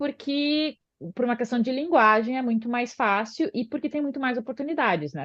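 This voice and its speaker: At a moderate pace, a woman speaks in a high pitch with lively intonation. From southern Brazil, Porto Alegre. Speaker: osteopath and physiotherapist. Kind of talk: podcast interview. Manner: hesitant, many filler sounds.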